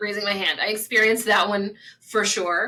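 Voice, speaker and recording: Bright and sharp, a woman's voice sits fairly high with a slight West Virginia accent. She moves at a moderate pace. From US South, small-town southern West Virginia. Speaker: spiritual coach. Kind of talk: casual talk to camera. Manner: conversational.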